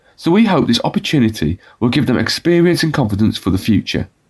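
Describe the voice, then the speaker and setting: Somewhat breathy, a man talks at a fairly quick pace. His pitch swings very widely. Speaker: presenter and news reader. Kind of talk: newsreading, local bulletin read aloud. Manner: clear, measured, formal.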